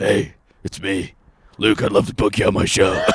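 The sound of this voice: A man puts on a gravelly character voice at a fairly low pitch. He talks at a moderate pace.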